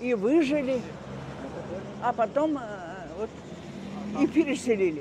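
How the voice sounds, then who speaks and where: Over noticeable background noise, a woman speaks very slowly in a high voice with very wide pitch swings and long, frequent pauses. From Crimea, Gaspra. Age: 90s. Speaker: elderly local resident recounting wartime memories. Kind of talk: oral history interview. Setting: outdoors walk. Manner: halting, many hesitations.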